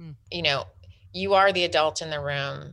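A woman talks at a moderate pace, with a quiet background behind her. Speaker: parenting coach and author. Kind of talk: casual interview conversation. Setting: video call.

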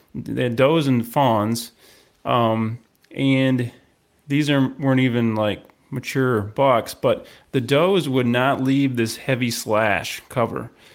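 Speaking at a very slow pace, a man keeps his loudness very even and his intonation fairly even. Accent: American. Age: 40s. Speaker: podcast host and deer hunter. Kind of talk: interview.

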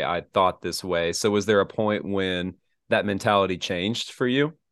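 An ordinary speaking voice from a man, fairly low in pitch, with ordinary pitch variation. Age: 20s. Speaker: podcast host. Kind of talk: casual interview.

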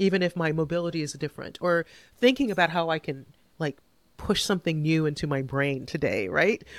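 A woman with a fairly low pitch and ordinary pitch variation talks at a fairly quick pace in an ordinary speaking voice, with a dry, close sound with no echo on a very clean recording with a silent background. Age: 50s. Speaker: author and former lawyer. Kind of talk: interview.

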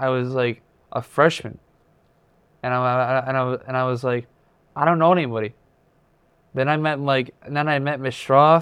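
A man speaks at medium pitch and a moderate pace. His intonation stays fairly even, broken by long, frequent pauses. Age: 20s. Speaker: transition program student. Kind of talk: interview. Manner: halting, repeats words.

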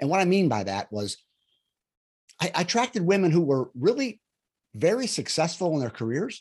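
Speech moves at a moderate pace. The recording is very clean with a silent background. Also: man. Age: 60s. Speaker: relationship coach. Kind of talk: interview.

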